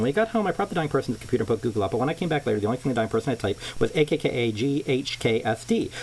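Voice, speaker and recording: Against noticeable background noise, a man rattles along at a very fast pace in a medium pitch with lively intonation. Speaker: amateur reader. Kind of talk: reading aloud. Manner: halting.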